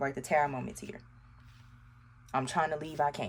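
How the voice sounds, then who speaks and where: A woman with vocal fry and a very deep, low pitch, in an American accent. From US South, Arkansas. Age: 30s. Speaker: tarot reader. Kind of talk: tarot reading to camera. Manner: animated.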